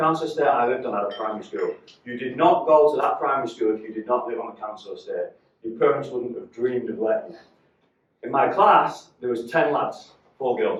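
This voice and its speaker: A man talks with a Mancunian accent. His pace is fairly quick. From northern England, Salford, Manchester. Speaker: motivational speaker, business owner. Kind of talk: talk to a live audience.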